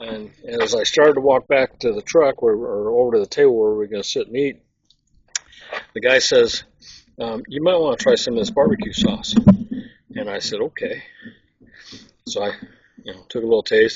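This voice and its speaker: This man talks at a fairly quick pace, with long, frequent pauses and big swings in loudness. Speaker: outdoor cooking channel host. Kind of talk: casual cooking demonstration. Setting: outdoors. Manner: soft-spoken.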